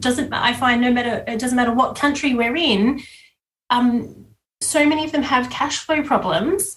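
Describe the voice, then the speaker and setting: The speaker uses a moderate pace and has an Australian accent. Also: woman. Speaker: business coach and bookkeeper. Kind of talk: podcast interview. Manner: hesitant, many fillers.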